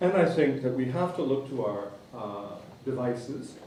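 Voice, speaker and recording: Amid noticeable background noise and audible room echo, a man talks at a medium pitch. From Canada. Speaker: museum director. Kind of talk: conference talk. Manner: fast; rhetorical.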